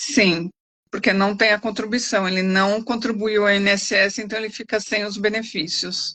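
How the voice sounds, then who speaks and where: A woman with an ordinary speaking voice talks at a moderate pace, with medium pitch and fairly even intonation. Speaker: lawyer. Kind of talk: expert Q&A answers. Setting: live stream.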